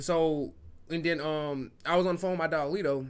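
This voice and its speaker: The pace stays moderate. The speaker is a man. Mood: playful, teasing. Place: studio. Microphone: studio mic.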